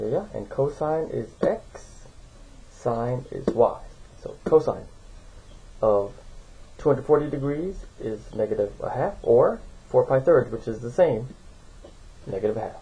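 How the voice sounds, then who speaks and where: A man speaks at a fairly slow pace, leaving long, frequent pauses. His loudness swings widely, and the room echo is audible. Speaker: math teacher. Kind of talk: lecture.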